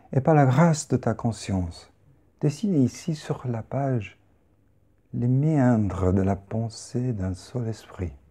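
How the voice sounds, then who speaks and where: Quietly and at a very slow pace, a man at medium pitch speaks with long, frequent pauses and lively intonation. His tone is dark and mellow, calm and soothing, and somewhat breathy. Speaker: poet or performer. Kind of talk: guided meditation. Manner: slow, calm, soothing; hushed, meditative, with long pauses. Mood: calm, meditative. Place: home room.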